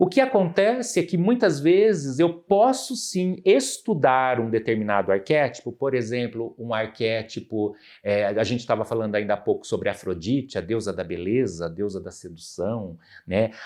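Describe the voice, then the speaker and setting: A man's medium-pitched voice at a moderate pace, with very wide pitch swings, on a very clean recording with a silent background. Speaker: psychoanalyst and professor. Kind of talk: podcast interview, explanatory. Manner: animated.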